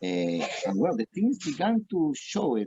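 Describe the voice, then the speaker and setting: A man with a Peruvian accent and a dark, mellow tone is heard in a dry, close recording with no echo. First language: Spanish. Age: 40s. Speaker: restaurant owner. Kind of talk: interview. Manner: halting.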